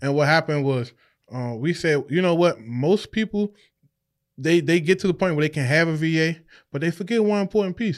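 A man with an unremarkable speaking voice talks at a fairly quick pace in an American accent, with ordinary pitch variation. The recording is very clean, with a silent background. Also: fairly high pitch for a man. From Washington, D.C. area. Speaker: real estate investor. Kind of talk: casual interview. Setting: studio.

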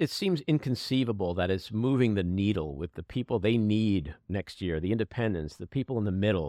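An unremarkable speaking voice from a man, fairly low in pitch, with lively intonation and hardly any pauses. The recording is very clean, the background silent. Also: fairly quick pace. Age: 60s. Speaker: podcast host. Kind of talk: casual chat.

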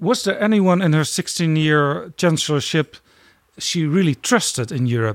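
Fairly slow speech from a man with a Dutch accent, fairly high in pitch and lively in intonation, dry and close with no echo. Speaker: podcast host. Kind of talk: interview.

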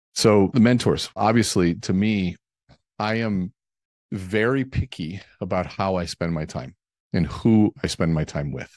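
In an unremarkable speaking voice with ordinary pitch variation, the speech goes at a fairly slow pace, dry and close with no echo over a quiet background. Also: man, fairly low pitch for a man. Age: 40s. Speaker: author and speaker. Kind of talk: casual chat.

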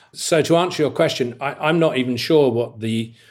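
A man with a British accent at a moderate pace. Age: 60s. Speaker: hotelier and founder. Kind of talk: interview. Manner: hesitant, filler-heavy.

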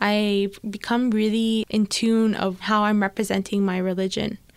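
A woman speaks in a plain, everyday voice at a medium pitch, with fairly even intonation. The recording is very clean, with a silent background. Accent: Canadian. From Canada, Etobicoke (Toronto). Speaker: writer and entrepreneur. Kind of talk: interview.

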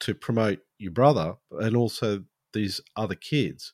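In an Australian accent, a man speaks with ordinary pitch variation, the sound dry and close with no echo on a very clean recording over a silent background. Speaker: podcast host. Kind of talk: scripted intro and interview.

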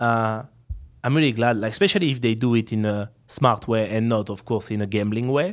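A man speaks with a strong French accent in a playful tone. His pitch is medium, his pace fairly quick, and his intonation fairly even. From France. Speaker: professional poker player and streamer. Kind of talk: casual interview. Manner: laughs often, playful.

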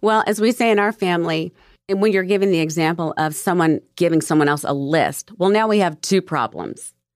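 A woman with an unremarkable speaking voice talks at a fairly quick pace and fairly low pitch with ordinary pitch variation and very even loudness, in a dry, close sound with no echo on a very clean recording with a silent background. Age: 50s. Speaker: podcast host. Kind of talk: casual chat.

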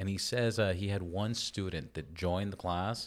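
A man at a moderate pace, fairly low in pitch with ordinary pitch variation, in a very clean recording against a silent background. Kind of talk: casual interview. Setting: on location at a riding event. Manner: animated.

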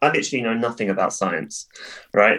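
In a southern English accent, a man talks at a very fast pace. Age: 30s. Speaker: cheerleading coach and businessman.

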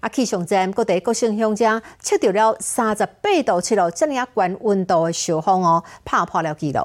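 A woman with a plain, everyday voice, medium in pitch with lively intonation, at a moderate pace on a very clean recording with a silent background. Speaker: news anchor. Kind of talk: news reading. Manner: formal.

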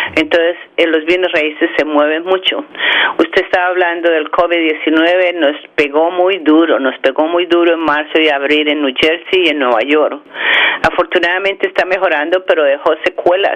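A woman speaks at a fairly low pitch with a Bogotá accent, at a moderate pace and with fairly even intonation. Her loudness stays very even over noticeable background noise. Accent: Bogotá Colombian. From Bogotá, Colombia. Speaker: chamber of commerce leader. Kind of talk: interview.

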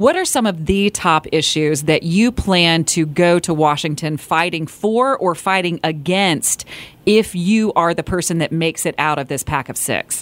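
A woman's plain, everyday voice, fairly low in pitch, with ordinary pitch variation, a moderate pace, and hardly any pauses. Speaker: morning radio co-host. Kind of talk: casual morning radio chat. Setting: radio studio. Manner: bubbly, laughs a lot.

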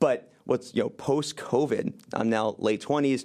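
A man speaks in a dark, mellow tone. His pace is fairly slow, with ordinary pitch variation. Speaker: media company CEO and co-founder. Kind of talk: casual interview chat.

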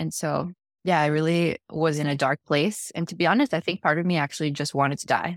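A woman with an American accent talks at a fairly quick pace, very deep and low in pitch. Her intonation is fairly even, and the sound is dry and close with no echo. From Mexico (Chihuahua), then US from age six. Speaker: podcast guest sharing recovery story. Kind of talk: testimony. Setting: video call.

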